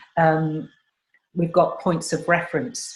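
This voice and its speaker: A woman's very deep, low voice, somewhat breathy. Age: 60s. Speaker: chat show host. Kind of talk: casual chat.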